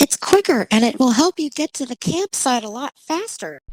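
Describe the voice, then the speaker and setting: A put-on character voice, female-sounding and pitched high for a woman. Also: moderate pace. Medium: audio drama.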